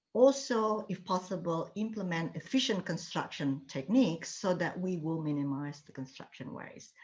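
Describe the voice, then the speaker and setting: Lively intonation at a moderate pace, with big swings in loudness, hardly any pauses and a somewhat breathy quality. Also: woman, fairly low pitch for a woman. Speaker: architecture professor. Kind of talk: lecture.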